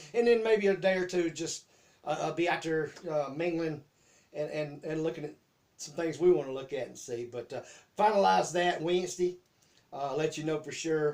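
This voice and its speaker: The speaker talks in a Southern US accent with ordinary pitch variation. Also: man. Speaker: YouTube host. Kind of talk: casual chat. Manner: halting.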